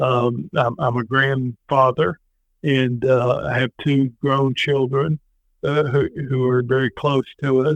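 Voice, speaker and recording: Very slow, flat, monotone speech at very even loudness. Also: man, medium pitch for a man. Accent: American. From US South. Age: 60s. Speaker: former state politician and veteran. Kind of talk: podcast interview. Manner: halting with many fillers.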